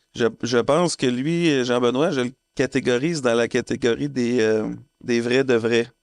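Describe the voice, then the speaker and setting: A man's medium-pitched voice at a fairly slow pace, very even in loudness, with ordinary pitch variation. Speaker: podcast co-host. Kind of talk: casual chat.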